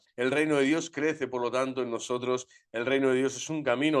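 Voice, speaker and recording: A man speaks at a medium pitch with fairly even intonation. The background is quiet. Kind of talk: religious formation lecture. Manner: fast; vehement.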